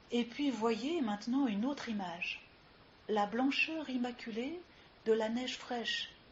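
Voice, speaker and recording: A woman speaks fairly slowly at a high pitch with ordinary pitch variation and a calm, soothing tone. Long, frequent pauses break up her speech over noticeable background noise. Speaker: yoga teacher. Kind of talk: guided yoga nidra relaxation session. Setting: live recording with ambient sounds. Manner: slow, calm, soothing.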